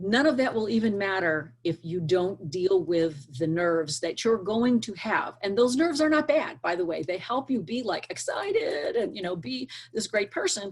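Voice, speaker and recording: Animated delivery at a moderate pace, with very wide pitch swings. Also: woman. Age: 60s. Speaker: career coach / hiring expert. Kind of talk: interview advice.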